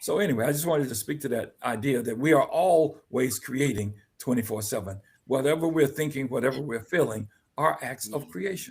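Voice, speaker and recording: Somewhat breathy, a man talks fairly quickly at a medium pitch with ordinary pitch variation. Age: 70s. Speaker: guest speaker on personal growth. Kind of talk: podcast discussion. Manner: halting.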